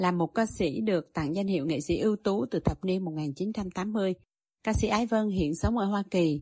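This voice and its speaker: Her voice, a woman's at medium pitch, has a dark, mellow tone and ordinary pitch variation. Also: quiet background. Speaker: radio reporter. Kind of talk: scripted narration.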